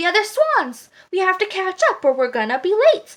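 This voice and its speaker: A woman does a squeaky put-on character voice, raised and projected, at an extremely high pitch. Her pitch swings very widely at a moderate pace. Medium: read story.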